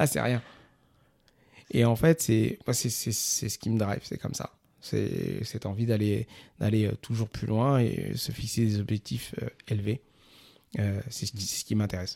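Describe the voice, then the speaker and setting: A man's fairly low, dark, mellow voice with fairly even intonation and long, frequent pauses, on a very clean recording with a silent background. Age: 40s. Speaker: entrepreneur. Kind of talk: interview.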